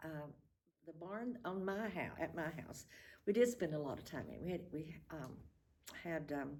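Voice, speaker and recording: With a Southern Appalachian accent, a woman speaks at a fairly slow pace. Her intonation is lively, and vocal fry runs through it. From Appalachian North Carolina. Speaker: retired school administrator. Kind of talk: oral history interview. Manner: reminiscing, conversational.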